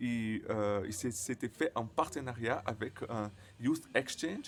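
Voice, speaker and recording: Speaking at a very slow pace, the man keeps a medium pitch. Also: ordinary pitch variation. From Brazil. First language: Portuguese (speaking French). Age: 20s. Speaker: vlogger who stutters. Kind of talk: personal vlog. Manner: stuttering, halting with many fillers.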